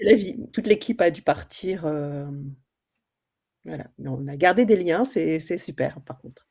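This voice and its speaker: Speaking at a fairly slow pace, a woman has a fairly low pitch, a dark, mellow tone, lively intonation and big swings in loudness. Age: 20s. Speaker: trainee real estate agent. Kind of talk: group introduction in training session.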